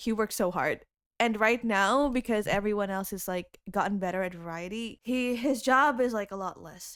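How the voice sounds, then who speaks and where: Speaking at a moderate pace with an Indonesian accent, a woman has a fairly high pitch and ordinary pitch variation on a very clean recording with a silent background. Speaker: YouTube music cover creator. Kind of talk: casual chat. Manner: animated.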